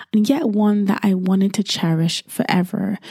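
Warm, animated tone from a woman of medium pitch at a moderate pace, with a dry, close sound with no echo and noticeable background noise. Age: 40s. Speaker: podcast host. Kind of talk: scripted narration. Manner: warm and animated.

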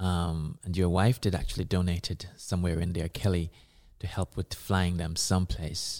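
A man's very deep, low voice with a Jamaican accent and fairly even intonation, on a very clean recording with a silent background. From Jamaica, Kingston. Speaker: multidisciplinary artist and activist. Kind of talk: interview.

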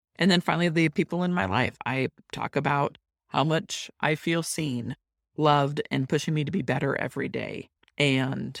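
A woman with a very deep, low pitch and vocal fry is heard on a very clean recording with a silent background and a dry, close sound with no echo. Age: 50s. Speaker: business coach podcast host. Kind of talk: solo podcast tutorial.

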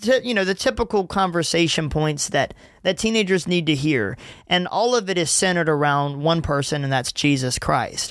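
On a very clean recording with a silent background, a man with a Southern US accent speaks at a moderate pace in a high pitch, his intonation lively and his loudness very even. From Louisiana and Gulfport, Mississippi. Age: 20s. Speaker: youth ministry worker and podcast host. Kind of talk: casual solo podcast monologue. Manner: casual, laughing often.

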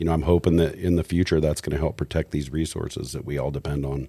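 Very fast and very deep, a man speaks with vocal fry and a dark, mellow tone in a monotone, flat intonation. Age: 40s. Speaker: fly fishing sales rep. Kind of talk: casual chat. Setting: studio.

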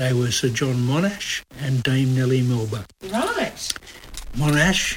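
A man with an Australian accent at a fairly slow pace, over noticeable background noise. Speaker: podcast host and comedy writer. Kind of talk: casual chat.

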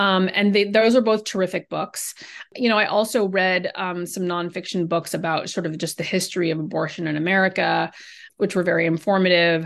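Speaking at a fairly quick pace, a woman has a plain, everyday voice at a medium pitch with fairly even intonation. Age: 40s. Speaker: novelist. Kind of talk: interview.

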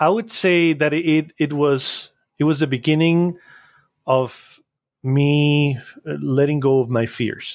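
A speaker with a Spanish accent talks at a very slow pace with long, frequent pauses, very even loudness and ordinary pitch variation, on a very clean recording with a silent background. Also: man, fairly high pitch for a man. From Costa Rica. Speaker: animation studio founder. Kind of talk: interview. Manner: halting.

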